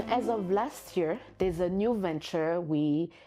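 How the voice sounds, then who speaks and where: A woman speaks at a very slow pace with ordinary pitch variation. Music plays in the background. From Burundi. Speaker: social entrepreneur. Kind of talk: interview answer.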